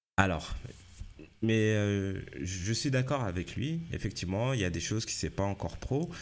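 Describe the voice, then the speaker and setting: A man's fairly low-pitched voice, lively in intonation, at a fairly slow pace. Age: 40s. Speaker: life and career coach, podcaster. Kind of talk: solo podcast monologue. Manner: halting, many fillers and repetitions.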